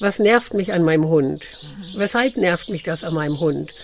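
Noticeable background noise is present. Through it, a woman talks with ordinary pitch variation. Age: 50s. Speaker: dog trainer and coach. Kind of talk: casual interview.

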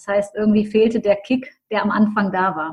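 A woman's fairly high, somewhat breathy voice moves with ordinary pitch variation. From Düsseldorf, Germany. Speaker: mental coach and business mentor. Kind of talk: interview.

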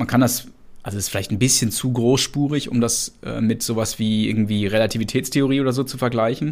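With fairly even intonation, an unremarkable speaking voice talks at a fairly quick pace. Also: man. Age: 40s. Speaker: entrepreneur and management consultant. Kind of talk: interview.

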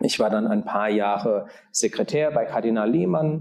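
The voice has a dark, mellow tone and vocal fry, moving at a fairly slow pace. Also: man. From Germany, southern Palatinate. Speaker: auxiliary bishop. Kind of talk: interview. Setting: conference room. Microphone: room echo.

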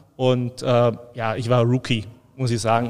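The man's pitch is medium and his pace moderate. He delivers everything in a flat, monotone way. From Allgäu, Bavaria, Germany. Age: 50s. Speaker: brewery export manager. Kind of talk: casual interview.

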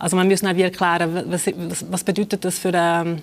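A woman speaks at a fairly low pitch. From Switzerland (born in Kosovo, raised in Switzerland from age five). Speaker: author and literary scholar. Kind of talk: interview. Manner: hesitant, many fillers.

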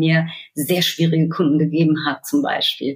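A woman speaks in a fairly low pitch. Her voice is somewhat breathy. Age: 30s. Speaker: fintech key account manager. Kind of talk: casual interview.

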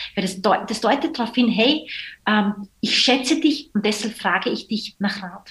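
A woman's ordinary speaking voice, fairly high in pitch, at a moderate pace with ordinary pitch variation. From Austria. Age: 30s. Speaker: social entrepreneur. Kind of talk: podcast interview.

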